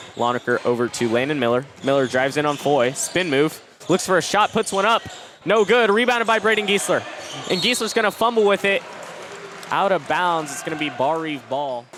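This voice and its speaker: A man speaks at a fairly quick pace with a fairly high pitch. His pitch swings very widely, and there is noticeable background noise. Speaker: radio play-by-play sports broadcaster. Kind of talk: live radio basketball play-by-play. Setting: live in a school gym.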